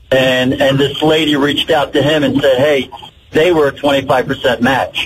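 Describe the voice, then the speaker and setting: A man speaks in a fairly high pitch with monotone, flat intonation and very even loudness. Noticeable background noise runs underneath. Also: moderate pace. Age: 60s. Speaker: caller. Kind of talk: casual chat. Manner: halting.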